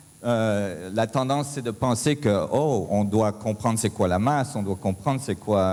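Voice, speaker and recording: A man's voice with lively intonation. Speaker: physicist, conference speaker. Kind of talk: conference talk. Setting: stage with audience. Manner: halting, many hesitations.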